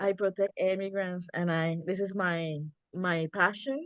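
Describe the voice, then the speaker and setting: A woman with a Spanish accent, recorded with a dry, close sound and no echo. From Puerto Rico. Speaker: community organizer, Lyft driver. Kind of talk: self-introduction on group call. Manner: halting.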